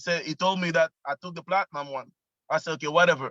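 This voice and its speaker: In a Quebec accent, the speaker goes at a fairly quick pace with a bright, sharp tone, recorded in a dry, close sound with no echo. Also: man. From Quebec, Canada. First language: French. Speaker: network marketing member. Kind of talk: casual testimony on video call. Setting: video call, parked in car. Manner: animated.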